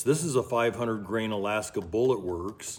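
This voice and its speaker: A man speaks at a fairly slow pace in a fairly low pitch, with a plain, everyday voice. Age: 60s. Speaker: ammunition maker and gun expert. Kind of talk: tutorial. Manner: casual, conversational.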